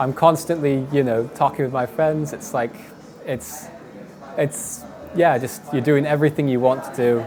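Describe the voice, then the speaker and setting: Noticeable background noise behind a man with a British accent, fairly high pitch, fairly even intonation and a moderate pace. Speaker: professional esports player. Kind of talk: interview answers. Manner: halting, frequent fillers and repeats.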